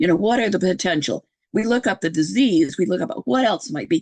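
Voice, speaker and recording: Heard dry and close with no echo, a woman speaks at medium pitch with very wide pitch swings and vocal fry. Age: 70s. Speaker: podcast host appearing as guest. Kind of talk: casual interview conversation.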